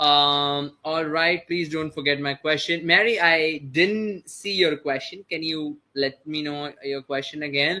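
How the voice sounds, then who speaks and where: A man talks with a fairly high pitch. His intonation stays fairly even. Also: hardly any pauses. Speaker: online course instructor. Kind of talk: live webinar Q&A. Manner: fast.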